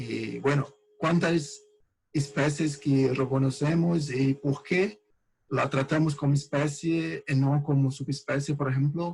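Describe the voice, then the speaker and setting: This man speaks at a fairly high pitch with a somewhat breathy sound. His intonation stays fairly even. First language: Portuguese (speaking Spanish). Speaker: researcher. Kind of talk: lecture. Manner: slow; halting.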